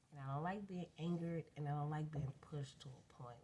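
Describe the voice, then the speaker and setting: A woman with a very deep, low pitch and ordinary pitch variation speaks at a fairly quick pace against noticeable background noise. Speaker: vlogger. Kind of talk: casual rant. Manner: rambling, unstructured.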